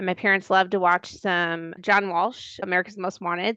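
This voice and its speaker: Speaking fairly quickly, a woman has a Wisconsin accent and a bright, sharp tone. The sound is dry and close with no echo, over a quiet background. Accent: Upper Midwest (Wisconsin). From Milwaukee, Wisconsin. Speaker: podcast co-host. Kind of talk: casual chat.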